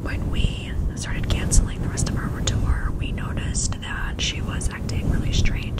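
A woman whispers while noticeable background noise fills the recording. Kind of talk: casual talk to camera.

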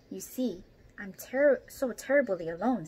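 A female-sounding put-on character voice, confident and gentle in tone, with a fairly high pitch, a hissing quality and a moderate pace. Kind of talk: children's story read-aloud with character voices. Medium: read story. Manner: confident, gentle. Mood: lonely, wistful.

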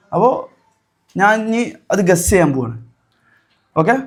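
The man's tone is animated. Audible room echo hangs on the voice. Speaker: vlogger. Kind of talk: casual vlog with magic show.

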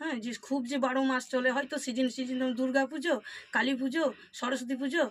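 Female speech pitched high, delivered in a monotone, flat intonation. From Birbhum, West Bengal, India. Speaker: housewife and self-taught singer. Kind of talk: interview testimony.

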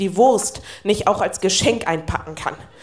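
A woman keeps a moderate pace while music sounds in the background. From Northern Germany. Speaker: poetry slammer. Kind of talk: poetry slam performance. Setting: live stage. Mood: wry, warm storytelling. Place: stage.

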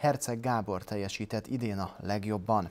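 At a moderate pace, a man is talking. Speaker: TV sports presenter. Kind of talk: news reading. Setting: TV studio. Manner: formal. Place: studio.

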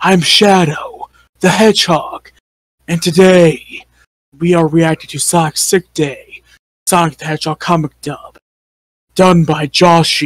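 A put-on character voice at middle pitch moves at a fairly slow pace with long, frequent pauses. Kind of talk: in-character reaction video commentary. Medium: role play.

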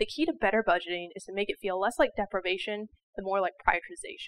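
The delivery is very fast, with lively intonation. Light background noise can be heard. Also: woman. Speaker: financial educator. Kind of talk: educational explainer to camera. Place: studio. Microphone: lapel.

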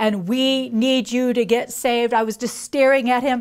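Against a quiet background, a woman with a high pitch talks at a moderate pace with fairly even intonation. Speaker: speaker. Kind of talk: personal testimony storytelling. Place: studio.

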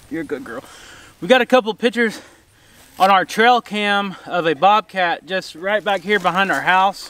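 A man projects a raised, high voice with a bright, sharp tone and ordinary pitch variation. He keeps a moderate pace, and the sound is dry with no echo. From Oklahoma. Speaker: farmer, channel host. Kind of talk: casual vlog. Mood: worried, a bit shaken. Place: open country. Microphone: camera far.

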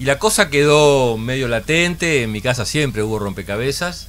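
An unremarkable speaking voice from a man, fairly quick, with lively intonation and light background noise. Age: 60s. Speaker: puzzle company founder. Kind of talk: radio interview. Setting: radio studio with camera. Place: studio. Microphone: studio mic.

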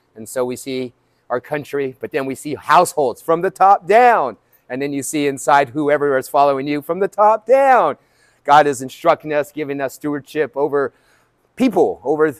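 A man talks at a moderate pace with ordinary pitch variation and big swings in loudness. The background is quiet. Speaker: fitness coach. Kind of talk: sermon-like fitness talk. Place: gym.

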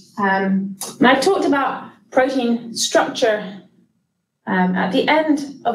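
A woman's high-pitched voice with ordinary pitch variation, audible room echo and light background noise. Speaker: lecturer. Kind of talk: lecture. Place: hall.

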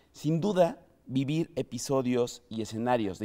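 A man with a Mexican accent speaks in a dark, mellow tone with ordinary pitch variation against a quiet background. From Mexico. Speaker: podcast host. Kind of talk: casual chat; scripted narration. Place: studio.

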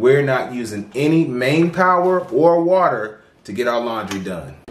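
Room echo is audible as a man speaks fairly slowly, his loudness rising and falling sharply. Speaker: channel host reviewing products. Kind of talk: product review tutorial. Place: home room.

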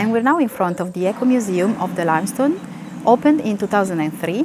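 Talking at a very fast pace with lively intonation, a woman sounds dry with no echo over noticeable background noise. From Piedmont, Italy. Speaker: tour guide. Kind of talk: travel video presentation. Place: street. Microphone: lapel.

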